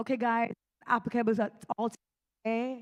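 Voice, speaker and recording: In a Jamaican accent, a woman with a fairly high voice speaks at a moderate pace, the sound dry and close with no echo. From Jamaica, Clarendon. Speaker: event presenter giving away phone credit. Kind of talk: live crowd interaction.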